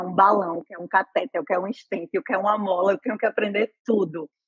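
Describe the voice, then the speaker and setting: In a dry, close recording with no echo, the speaker talks very fast in an animated tone with ordinary pitch variation. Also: woman. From Brazil, Pernambuco interior (Northeast). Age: 30s. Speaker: nurse. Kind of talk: interview.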